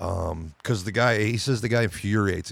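A man with an unremarkable speaking voice, fairly low pitch and lively intonation at a moderate pace, in a very clean recording with a silent background. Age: 50s. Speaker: podcast co-host. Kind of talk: casual chat.

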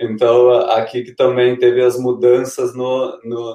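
A man's medium-pitched voice moves at a fairly slow pace. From southern Brazil, Serra Gaúcha (Rio Grande do Sul). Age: 30s. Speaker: trail runner and running group founder. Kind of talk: interview. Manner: halting, many repetitions.

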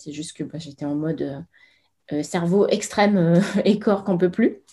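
The recording is very clean, with a silent background. A woman speaks with a dark, mellow tone at a moderate pace. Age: 40s. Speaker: Bach flower consultant. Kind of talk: interview.

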